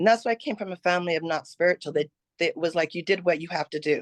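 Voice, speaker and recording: Over a quiet background, a woman with a fairly low pitch and ordinary pitch variation has an unremarkable speaking voice, the sound dry and close with no echo. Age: 60s. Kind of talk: testimony.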